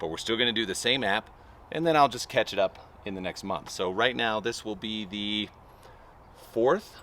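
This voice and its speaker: A man with a bright, sharp tone and fairly low pitch, at a moderate pace with ordinary pitch variation and long, frequent pauses. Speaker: lawn care channel host. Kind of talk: casual tutorial vlog.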